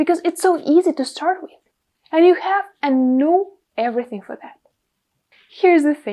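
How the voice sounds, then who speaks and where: A woman with a Russian accent speaks at an extremely high pitch and moderate pace, in a dark, mellow tone with lively intonation. Her speech has long, frequent pauses and big swings in loudness. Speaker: podcast host and content creator. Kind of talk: tutorial.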